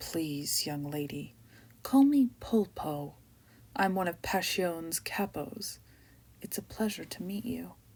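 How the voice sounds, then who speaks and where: A woman's husky put-on character voice at medium pitch, fairly slow, with lively intonation and long, frequent pauses. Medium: read story. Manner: menacing, condescending.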